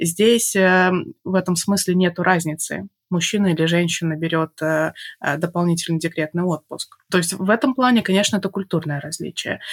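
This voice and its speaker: On a very clean recording with a silent background and a dry, close sound with no echo, a woman speaks at a moderate pace in an unremarkable speaking voice, fairly low in pitch with ordinary pitch variation. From Belarus, Minsk. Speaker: mother and podcast guest. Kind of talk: casual interview.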